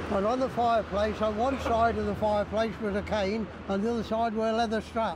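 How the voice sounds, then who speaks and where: A man's high-pitched, fairly quick delivery in an East Midlands accent, monotone and flat, with very even loudness and noticeable background noise. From Leicester, England. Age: 80s+. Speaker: war veteran. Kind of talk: interview answer.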